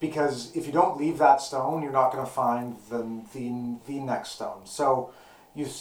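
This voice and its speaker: A man speaks with a fairly high pitch and fairly even intonation. There is audible room echo along with noticeable background noise. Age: 30s. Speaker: guitarist. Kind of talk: casual chat. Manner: halting.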